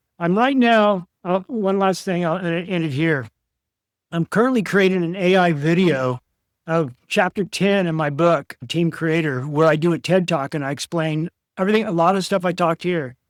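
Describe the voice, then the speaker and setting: Recorded very cleanly with a silent background, a man speaks at a moderate pace in an American accent. His pitch is high, with ordinary variation. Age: 60s. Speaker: author and precious metals commentator. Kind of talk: interview.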